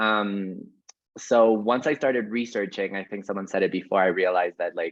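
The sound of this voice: A man speaks at a fairly low pitch. There is little pitch movement. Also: moderate pace.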